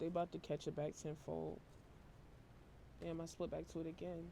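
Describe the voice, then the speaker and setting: At a moderate pace, a woman delivers her words. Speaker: tarot reader. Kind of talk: tarot reading. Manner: monotone.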